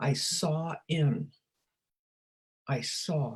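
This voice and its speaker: A woman's dark, mellow tone, very deep and low in pitch, somewhat breathy. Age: 80s+. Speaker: former teacher and speaker on wellbeing. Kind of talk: casual interview conversation.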